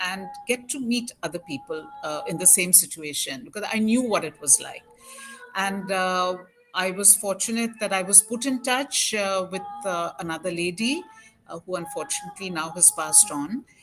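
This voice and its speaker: With music in the background, a woman of medium pitch talks at a moderate pace using lively intonation. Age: 60s. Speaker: parent of a child with Down syndrome, organization founder. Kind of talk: interview. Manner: halting, many fillers.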